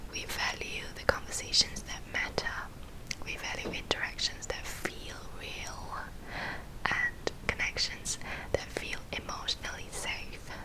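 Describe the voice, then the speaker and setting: A woman whispers in a gentle tone at a fairly slow pace, her loudness swinging widely over noticeable background noise. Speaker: ASMR creator and counselling psychology graduate. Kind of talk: whispered ASMR talk on mental health. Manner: whispered, soft, gentle.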